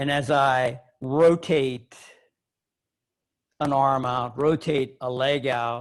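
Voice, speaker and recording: At a very slow pace with long, frequent pauses, a man speaks at a medium pitch in a monotone, flat intonation. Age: 70s. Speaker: yoga teacher. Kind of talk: lecture.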